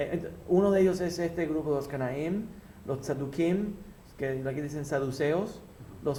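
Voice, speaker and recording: Fairly high-pitched male voice with ordinary pitch variation, at a fairly slow pace with long, frequent pauses and audible room echo. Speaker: rabbi teaching a class. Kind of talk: religious lecture.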